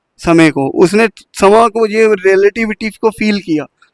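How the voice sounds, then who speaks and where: A high-pitched man's voice with a non-native accent and ordinary pitch variation. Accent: non-native Hindi. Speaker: spiritual speaker. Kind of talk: spiritual talk.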